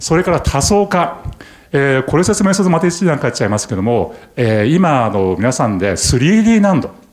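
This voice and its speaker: Audible room echo follows a man whose fairly high pitch makes very wide swings as he speaks at a moderate pace. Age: 60s. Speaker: company chairman. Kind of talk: investor presentation. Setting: stage with audience. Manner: many filler words.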